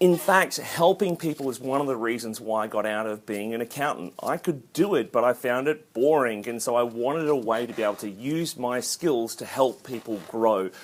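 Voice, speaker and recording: An Australian accent marks this man's speech. He keeps a moderate pace and medium pitch, with lively intonation and hardly any pauses. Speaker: accounting lecturer. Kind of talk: casual vlog introduction. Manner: animated.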